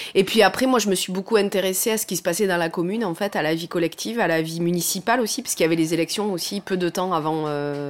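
A woman with a fairly low voice speaks very fast, with ordinary pitch variation and hardly any pauses. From southwest France, Lot near Cahors. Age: 40s. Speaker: remote worker who moved to the countryside. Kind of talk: interview. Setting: at home, in the kitchen. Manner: halting, many fillers.

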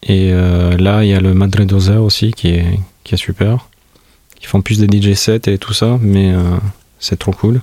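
Monotone and flat, the voice moves at a fairly slow pace with very even loudness, a dark, mellow tone and long, frequent pauses. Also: man. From Albania, Tirana. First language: Albanian (speaking French). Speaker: musician. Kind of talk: interview monologue. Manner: halting.

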